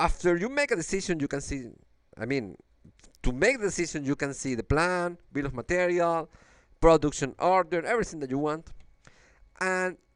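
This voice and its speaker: On a very clean recording with a silent background, a man with a Venezuelan accent speaks at a moderate pace in a high voice, his intonation lively and broken by long, frequent pauses. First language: Spanish. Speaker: engineer. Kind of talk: software demo walkthrough. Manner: halting, with fillers and repetitions.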